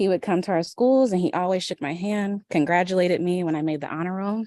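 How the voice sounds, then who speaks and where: A woman with an American accent, fairly low in pitch, with ordinary pitch variation and a dry, close sound free of echo. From US Midwest, Indianapolis. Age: 30s. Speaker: public commenter, mental health therapist. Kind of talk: public comment at a board meeting. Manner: soft-spoken.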